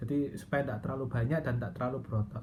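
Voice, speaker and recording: Audible room echo surrounds a woman whose voice is somewhat breathy. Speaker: Buddhist transgender vlogger. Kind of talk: personal testimony. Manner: hesitant, many fillers.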